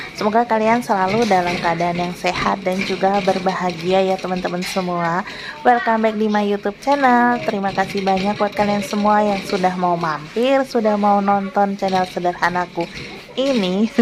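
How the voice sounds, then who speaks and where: A woman's medium-pitched voice moves at a moderate pace with fairly even intonation, with noticeable background noise behind her. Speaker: housewife vlogger. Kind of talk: voiceover narration for vlog. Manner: casual, chatty.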